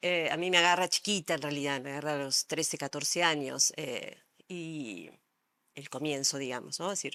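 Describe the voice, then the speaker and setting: Heard on a very clean recording with a silent background, a woman speaks with a very deep, low pitch and a bright, sharp tone. She keeps a moderate pace with ordinary pitch variation. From Argentina, Buenos Aires. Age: 60s. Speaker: psychologist and art therapist. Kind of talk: interview. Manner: hesitant, many fillers.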